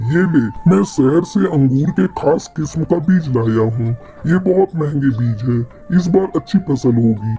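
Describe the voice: Over clear background music, a man does a cartoonish character voice at a moderate pace and a fairly high pitch.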